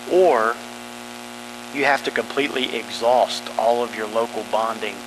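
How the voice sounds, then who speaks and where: A man speaks at a moderate pace. There is noticeable background noise. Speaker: school facilities planning presenter. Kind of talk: meeting presentation. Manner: monotone.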